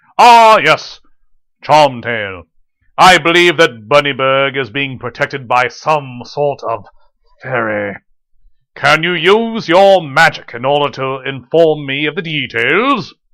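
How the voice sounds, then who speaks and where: A man puts on a character voice with a fairly high pitch. He talks at a fairly slow pace. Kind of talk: classic radio drama acting. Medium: audio drama. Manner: pompous, haughty.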